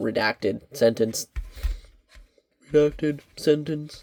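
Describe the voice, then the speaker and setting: Putting on a robotic character voice, a man speaks fairly slowly at a fairly high pitch. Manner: impression without voice changer.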